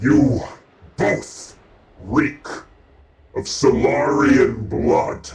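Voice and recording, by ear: A man puts on a raspy character voice, talking at a very slow pace with long, frequent pauses and a slight echo.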